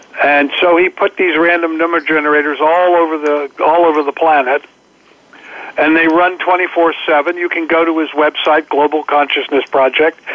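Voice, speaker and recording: Speech at a moderate pace against noticeable background noise. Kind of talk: guest interview, explanatory talk on collective consciousness. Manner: earnest, explanatory, conversational.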